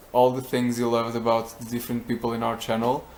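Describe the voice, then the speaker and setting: Speaking with a Portuguese accent, this is a man. His pitch is medium. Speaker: vlogger. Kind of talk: casual vlog talk. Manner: halting.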